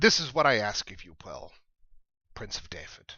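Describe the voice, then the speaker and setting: A raspy, put-on character voice from a man, medium in pitch, at a moderate pace with big swings in loudness. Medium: read story. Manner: formal, solemn.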